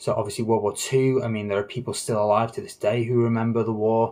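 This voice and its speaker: Somewhat breathy speech at a very fast pace. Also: man. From northern England. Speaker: gaming livestream host. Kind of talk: casual livestream chat. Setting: livestream.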